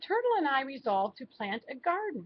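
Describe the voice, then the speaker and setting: A woman does a put-on character voice at a high pitch. Her pitch swings very widely, and her pace is fairly quick. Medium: read story.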